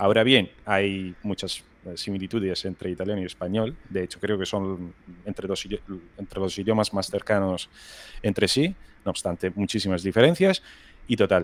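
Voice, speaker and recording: At a moderate pace, a man speaks with a fairly low pitch and fairly even intonation on a very clean recording with a silent background. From Rome, Italy. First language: Italian (speaking Spanish). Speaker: video game environment artist. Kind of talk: casual interview chat.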